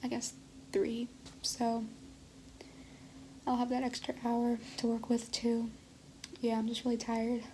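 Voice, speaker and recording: A woman is whispering. She keeps a moderate pace. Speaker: college student vlogger. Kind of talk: casual vlog monologue.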